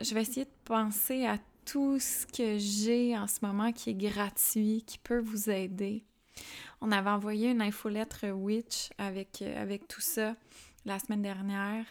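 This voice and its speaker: In a very clean recording with a silent background, a woman with a fairly high voice speaks at a very slow pace in a calm tone with fairly even intonation. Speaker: podcast host and spiritual channeler. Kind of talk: spiritual monologue. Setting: home.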